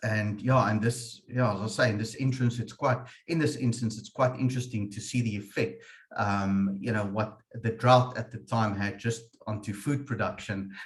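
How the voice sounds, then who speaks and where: A man with an Afrikaans accent speaks at a moderate pace and a medium pitch. His voice is somewhat breathy, with fairly even intonation. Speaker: webinar moderator, insurance manager. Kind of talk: webinar discussion. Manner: hesitant, repetitive fillers.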